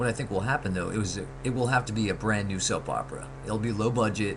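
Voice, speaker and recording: A man's fairly low voice with lively intonation at a fairly quick pace, plus audible room echo and noticeable background noise. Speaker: vlogger, soap opera fan. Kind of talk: casual webcam monologue. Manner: fast; hesitant, many fillers.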